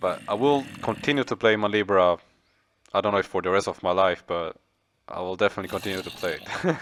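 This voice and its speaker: Over a silent background in a very clean recording, a man speaks at a very fast pace with ordinary pitch variation. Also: fairly low pitch for a man. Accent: non-native. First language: not English. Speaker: gaming youtuber. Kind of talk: gameplay commentary. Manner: halting.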